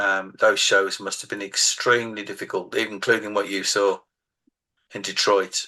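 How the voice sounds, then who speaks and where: In a Birmingham accent, the voice has a bright, sharp tone and a flat, monotone delivery, with big swings in loudness. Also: man, fairly low pitch for a man, moderate pace. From England, Birmingham. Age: 60s. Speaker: author. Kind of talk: casual interview chat.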